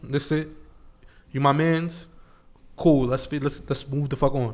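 Long, frequent pauses mark this man's fairly slow, monotone, flat delivery at a fairly high pitch. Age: 20s. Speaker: podcast co-host. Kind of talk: casual chat.

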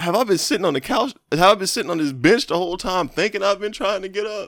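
At a fairly quick pace, a raised, projected voice with a bright, sharp tone comes through a very clean recording with a silent background. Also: man. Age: 30s. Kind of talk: casual banter, comedic podcast chat.

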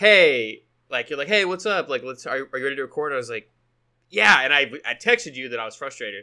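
At a very fast pace, a man with a fairly high pitch and a bright, sharp tone speaks with lively intonation and big swings in loudness. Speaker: podcast co-host; software sales demo. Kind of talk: casual chat.

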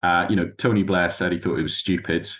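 A man with a northeast English accent. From northeast England, Tyne Valley. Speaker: university lecturer and author. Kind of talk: interview conversation. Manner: hesitant, many fillers.

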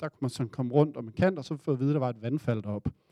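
Recorded with a dry, close sound, no echo and a quiet background, a man speaks in a dark, mellow tone at a medium pitch with ordinary pitch variation. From Denmark. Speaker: audience member telling a story. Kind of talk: live storytelling. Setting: stage with audience.

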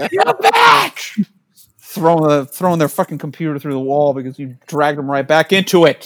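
A man speaks in an ordinary speaking voice with an American accent. His pitch is fairly high, his pace moderate and his intonation fairly even. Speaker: podcast host. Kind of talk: casual banter between friends.

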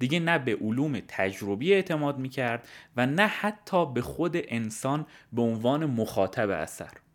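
His pitch swings very widely as the man speaks. The recording is very clean, with a silent background. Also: medium pitch for a man, moderate pace. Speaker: podcaster. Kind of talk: scripted narration.

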